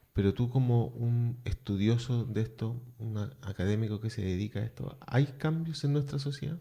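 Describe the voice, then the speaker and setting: A man with a dark, mellow tone and a somewhat breathy sound speaks at a moderate pace and medium pitch, with ordinary pitch variation and hardly any pauses. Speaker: radio host. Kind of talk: radio interview.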